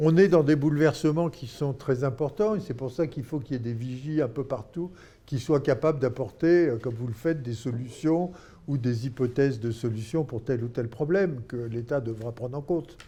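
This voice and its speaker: A man speaks at a medium pitch and a moderate pace, with ordinary pitch variation. His tone is dark and mellow and somewhat breathy, set against a quiet background. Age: 80s+. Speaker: philanthropy expert, former doctor and NGO leader. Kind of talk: interview. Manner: halting.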